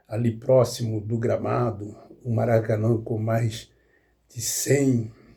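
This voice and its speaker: A man's medium-pitched, somewhat breathy voice, dark and mellow in tone, with flat, monotone intonation at a very slow pace. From Rio de Janeiro state, Duque de Caxias (born in Minas Gerais). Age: 70s. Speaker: football commentator, YouTuber. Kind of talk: casual monologue, football analysis. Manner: halting, with fillers.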